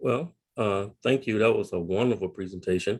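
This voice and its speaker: The speaker is a man with a fairly low pitch. He keeps to a moderate pace. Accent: Tennessee. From Tennessee. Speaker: psychologist and family therapist, Marine veteran. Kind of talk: webinar presentation. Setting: video call.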